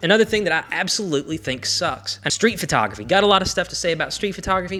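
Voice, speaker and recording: A man talks at a very fast pace with a Southern US accent. Music plays in the background. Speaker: film photography YouTuber. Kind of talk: casual talk to camera. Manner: opinionated, ranting.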